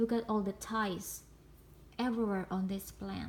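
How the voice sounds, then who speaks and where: A woman speaks in a somewhat breathy voice. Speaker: plant vlogger. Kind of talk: casual haul video. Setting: indoors at home. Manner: animated.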